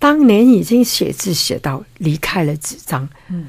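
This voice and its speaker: With vocal fry and very wide pitch swings, a woman speaks at a very slow pace on a very clean recording with a silent background. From Hong Kong. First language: Cantonese (speaking Chinese). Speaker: art collector and author. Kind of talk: interview.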